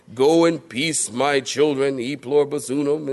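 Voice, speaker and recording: Using a put-on character voice, a man speaks at a moderate pace and a fairly high pitch. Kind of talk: solemn, lofty.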